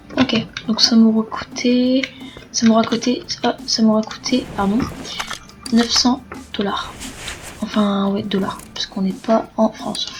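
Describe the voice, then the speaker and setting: A soft-spoken woman at a fairly high pitch, very slow with long, frequent pauses, fairly even intonation, and noticeable background noise. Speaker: gaming youtuber. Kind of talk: gameplay commentary. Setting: at home, late at night. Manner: casual, swearing asides.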